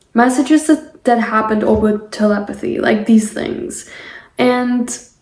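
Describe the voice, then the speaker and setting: Her intonation stays fairly even. The woman talks with a non-native accent. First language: not English. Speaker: spiritual podcaster. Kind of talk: casual monologue. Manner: halting.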